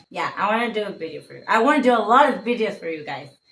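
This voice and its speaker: A woman speaks in a fairly high voice with a bright, sharp tone and lively intonation. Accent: Mexican. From Mexico. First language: Spanish. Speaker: vlogger. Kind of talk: casual chat. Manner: halting.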